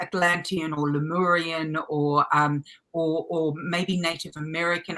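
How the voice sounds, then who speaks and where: Speaking at a fairly slow pace, a woman with an Australian accent has a fairly low pitch and monotone, flat intonation. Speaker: light language channel and spiritual teacher. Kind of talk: interview answer. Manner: rambling, hesitant.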